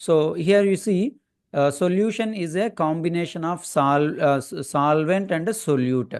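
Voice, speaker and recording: A man's fairly high voice, fairly slow, with ordinary pitch variation, over a quiet background. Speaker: chemistry teacher. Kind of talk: lecture. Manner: halting.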